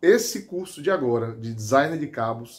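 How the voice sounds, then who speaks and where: Pitch swinging very widely, a man talks at a very slow pace. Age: 40s. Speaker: high school teacher and hobby knifemaker. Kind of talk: testimonial; testimonial, casual direct-to-camera talk. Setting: home workshop. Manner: halting. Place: workshop.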